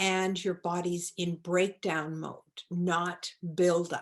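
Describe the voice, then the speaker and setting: Speaking very slowly, a woman talks in a Maritime Canadian accent. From Nova Scotia, Canada. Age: 70s. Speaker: holistic pharmacist. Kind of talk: interview.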